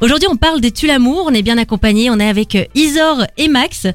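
High-pitched woman's voice with lively intonation at a moderate pace, over noticeable background noise. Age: 20s. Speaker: radio host. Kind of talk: casual chat. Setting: studio.

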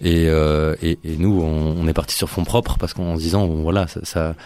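With a very deep, low pitch and a dark, mellow tone, a man speaks in monotone, flat intonation. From Brussels, Belgium. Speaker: event producer, festival organiser. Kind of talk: casual radio interview.

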